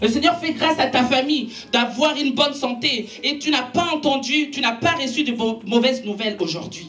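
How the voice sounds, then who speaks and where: With music in the background and audible room echo, a woman speaks at a high pitch. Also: ordinary pitch variation, moderate pace. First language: Italian (speaking French). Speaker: preacher. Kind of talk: sermon.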